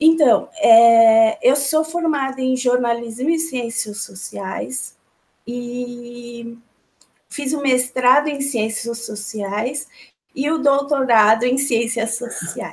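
Her pitch high and its variation ordinary, a woman speaks at a very slow pace. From Brazil, São Paulo. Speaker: researcher of feminist philosophy. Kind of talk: interview. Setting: video call.

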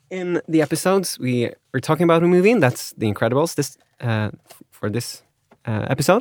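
With a Swedish accent, the speaker talks at a fairly quick pace with very wide pitch swings. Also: man, fairly high pitch for a man. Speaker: podcast host. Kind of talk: casual chat.

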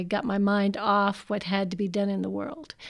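A woman speaks with an American accent at a medium pitch and fairly even intonation. It is a plain, everyday voice on a very clean recording with a silent background. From US, Washington DC / Maryland area. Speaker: cult survivor and speaker. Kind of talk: personal testimony talk.

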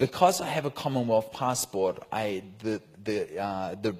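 A man speaks at a very slow pace in a fairly low voice. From New Zealand. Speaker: preacher. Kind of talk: sermon with live translation.

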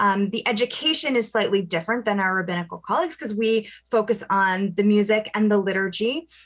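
A woman talks at a fairly quick pace with ordinary pitch variation. Her pitch is medium. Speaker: cantor. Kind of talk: radio interview. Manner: animated.

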